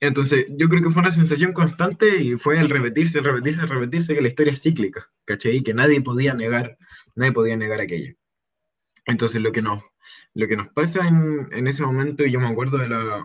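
Fairly quick and somewhat breathy, a man with a Chilean accent speaks at fairly high pitch. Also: ordinary pitch variation. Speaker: former student activist spokesperson. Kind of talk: casual interview.

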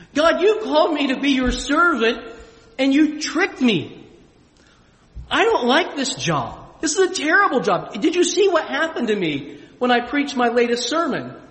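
Noticeable background noise and audible room echo surround a voice with an American accent at a moderate pace. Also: man, extremely high pitch for a man, lively intonation. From Springfield, US. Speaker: pastor. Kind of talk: sermon. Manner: animated.

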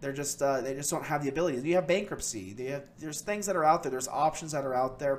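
This man has an ordinary speaking voice. It sits fairly high in pitch, with ordinary pitch variation. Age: 30s. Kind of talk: casual monologue. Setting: at a computer on camera. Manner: many filler words.

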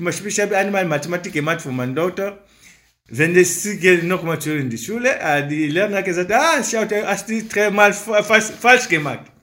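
With a non-native accent, a man uses a raised, projected voice at a high pitch, with lively intonation and a moderate pace. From Africa. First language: not German (speaking German). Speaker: father of four. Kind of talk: interview statement. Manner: halting.

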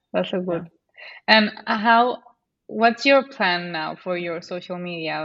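A woman with a Spanish accent. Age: 20s. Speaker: podcast host. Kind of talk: podcast interview.

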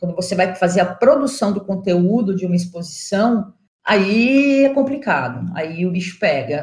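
A woman speaks at a moderate pace in a medium pitch. Her pitch swings very widely. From São Paulo, Brazil. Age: 40s. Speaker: journalist and curator. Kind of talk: interview.

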